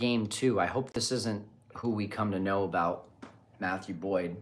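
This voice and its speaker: A quiet man at a fairly low pitch and a fairly slow pace. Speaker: baseball podcast host. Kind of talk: live watch party commentary. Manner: quiet, keeping voice down.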